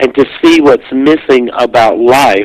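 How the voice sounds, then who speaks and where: In a dry, close sound with no echo, a man with an American accent speaks fairly slowly at a medium pitch. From US South, South Carolina. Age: 60s. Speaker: near-death experience author and speaker. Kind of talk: interview.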